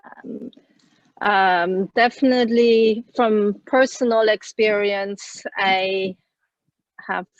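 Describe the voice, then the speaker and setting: Recorded with a dry, close sound and no echo, a woman speaks at a medium pitch. Her intonation is fairly even. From Switzerland. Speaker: parent panelist. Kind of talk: webinar panel talk.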